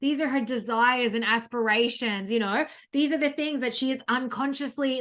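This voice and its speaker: A woman with an Australian accent speaks at a high pitch, with ordinary pitch variation. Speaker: business coach. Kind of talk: online masterclass. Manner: fast; filler-heavy, um and you know.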